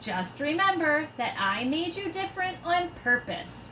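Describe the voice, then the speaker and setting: A woman uses a put-on character voice at an extremely high pitch, with very wide pitch swings, a moderate pace and clear background noise. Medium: read story. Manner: gentle, warm.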